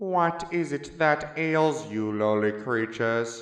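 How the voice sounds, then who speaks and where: A man speaks in a put-on character voice with a fairly high pitch. His pace is fairly slow, and there is a slight echo. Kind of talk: archaic, haughty. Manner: menacing and condescending.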